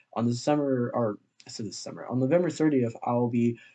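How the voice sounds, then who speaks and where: A man talks in a dark, mellow tone with fairly even intonation. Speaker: esports YouTuber. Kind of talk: solo commentary video. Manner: halting, stuttering; casual.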